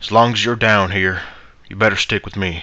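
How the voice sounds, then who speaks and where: This man uses a raspy put-on character voice with fairly low pitch, monotone, flat intonation, a fairly quick pace and big swings in loudness. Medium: read story. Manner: gruff, awkward.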